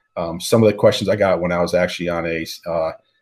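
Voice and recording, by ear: Speaking fast, a man uses a low pitch, a slightly mellow tone, and fairly even intonation.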